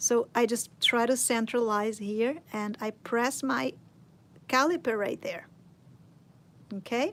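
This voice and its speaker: Her pitch fairly high, a woman speaks in a Portuguese accent with ordinary pitch variation. She goes at a very slow pace, with long, frequent pauses. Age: 40s. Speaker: sculpting teacher. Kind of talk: tutorial. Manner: casual.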